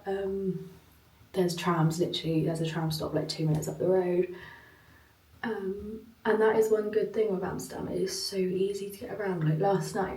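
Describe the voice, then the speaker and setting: A woman with a British accent speaks with long, frequent pauses, her voice carrying audible room echo over noticeable background noise. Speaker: travel vlogger. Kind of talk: vlog. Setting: hotel room. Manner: casual, filler-heavy.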